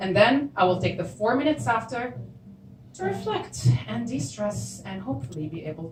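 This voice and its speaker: A woman talks at a moderate pace with very wide pitch swings while music plays in the background. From Syria. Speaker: storyteller. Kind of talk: live storytelling performance.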